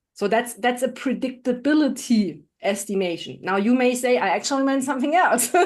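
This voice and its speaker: With a German accent, a woman talks at a fairly quick pace in a high pitch, her intonation lively and her loudness very even. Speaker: AI specialist and leadership trainer. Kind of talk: podcast interview. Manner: animated.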